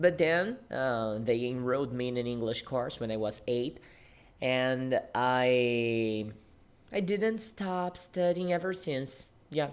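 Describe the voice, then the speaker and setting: Speech with a non-native accent comes at a very slow pace. The intonation is lively. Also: man, medium pitch for a man. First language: Portuguese. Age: 20s. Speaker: English teacher. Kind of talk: casual talk to camera. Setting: podcast studio.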